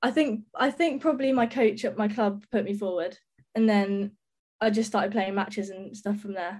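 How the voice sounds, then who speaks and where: A woman talks in a southern English accent. Her pitch variation is ordinary. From England, Sussex (Brighton). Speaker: professional cricketer. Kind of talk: interview.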